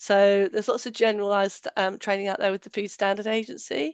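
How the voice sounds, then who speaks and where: The speech in a British accent moves at a fairly quick pace, with a dry, close sound and no echo. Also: woman. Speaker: allergen safety trainer. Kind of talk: webinar presentation. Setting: online webinar. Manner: hesitant, many fillers.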